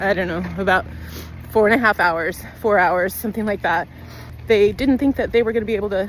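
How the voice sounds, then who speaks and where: A woman talks at a fairly quick pace in a plain, everyday voice, her pitch medium with ordinary variation. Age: 50s. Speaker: nurse and vlogger. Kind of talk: personal vlog update. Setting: outdoors on a walk with her dog. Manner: casual, conversational.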